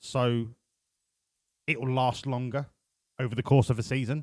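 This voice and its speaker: Speaking with a British accent at a moderate pace, a man has a medium-pitched voice captured with a dry, close sound and no echo. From UK. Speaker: video game streamer. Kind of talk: live stream commentary. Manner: casual, chatty.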